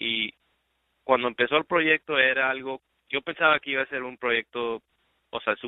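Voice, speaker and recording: This man has a medium pitch and fairly even intonation. He speaks at a moderate pace. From Texas, Laredo (Mexican-American family). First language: bilingual Spanish and English (speaking Spanish). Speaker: music producer. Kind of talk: interview. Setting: phone call. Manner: halting, many repetitions and fillers.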